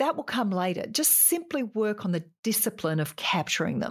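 In a very clean recording with a silent background, a woman speaks at a medium pitch in an Australian accent. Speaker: podcast host giving business advice. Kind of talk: solo tutorial-style talk. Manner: forceful, opinionated.

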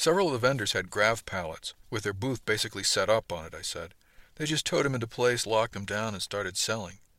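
The clip features a natural reading voice.

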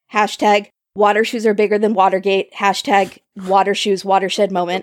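An ordinary speaking voice from a woman at medium pitch and moderate pace, with a dry, close sound and no echo. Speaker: podcast host. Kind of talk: casual chat.

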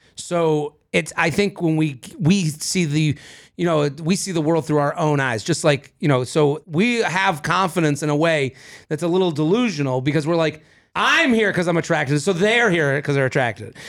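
A man with a fairly high pitch has an unremarkable speaking voice, moving at a moderate pace with ordinary pitch variation and very even loudness. The recording is very clean, with a silent background. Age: 30s. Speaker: comedian. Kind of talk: casual chat. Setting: studio.

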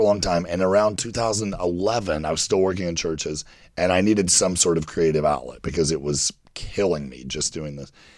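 The recording is very clean, with a silent background. A man with a very deep, low pitch speaks at a moderate pace with ordinary pitch variation. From Kentucky. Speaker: writer and producer. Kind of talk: casual chat.

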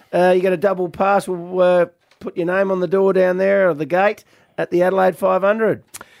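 Flat and monotone in intonation, a man with an Australian accent and a high pitch speaks at a moderate pace. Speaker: radio host. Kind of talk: casual banter on a radio show. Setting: studio.

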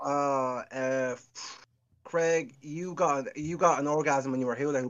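Fairly even in intonation, a man delivers his words at a fairly slow pace. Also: fairly high pitch for a man. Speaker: caller. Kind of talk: casual chat. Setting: video call.

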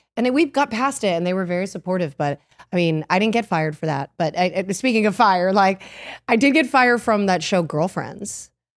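A woman speaks at a fairly quick pace with a medium pitch and lively intonation. She has a plain, everyday voice. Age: 30s. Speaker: podcast co-host and actress. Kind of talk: casual chat.

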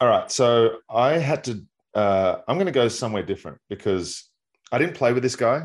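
Against a quiet background, a man with an Australian accent speaks at a moderate pace with lively intonation. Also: medium pitch for a man. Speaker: baseball analyst, former pitcher. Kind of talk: casual sports chat.

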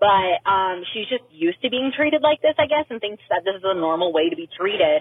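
A woman with an ordinary speaking voice, lively intonation and a fairly quick pace. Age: 20s. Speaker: listener caller. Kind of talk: voicemail story. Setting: recorded phone message.

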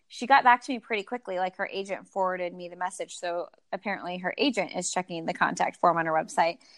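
A woman talks fairly quickly in an unremarkable speaking voice with lively intonation. The sound is dry and close with no echo, over a quiet background. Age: 30s. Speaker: running podcast host and runner. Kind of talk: casual interview chat. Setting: remote call.

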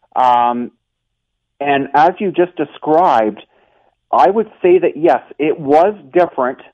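Lively intonation marks a man's fairly high-pitched delivery. An ordinary speaking voice keeps a fairly slow pace. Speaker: basketball game operations statistician. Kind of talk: casual interview.

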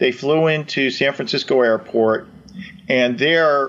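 A man speaks in a plain, everyday voice at a medium pitch. His pace is moderate and his pitch varies in an ordinary way. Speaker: retired FBI agent and author. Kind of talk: interview.

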